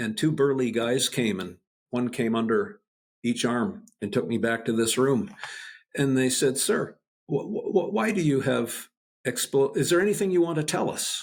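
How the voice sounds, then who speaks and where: A man's medium-pitched voice with a Canadian accent, moderate pace and very wide pitch swings. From Canada. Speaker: spine researcher and professor. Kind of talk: casual interview chat. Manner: halting.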